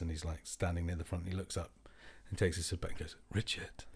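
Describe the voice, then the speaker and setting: Speaking very fast, a man with a very deep, low voice sounds somewhat breathy on a very clean recording with a silent background. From Scotland. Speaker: radio producer. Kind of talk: casual chat. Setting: at home. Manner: animated.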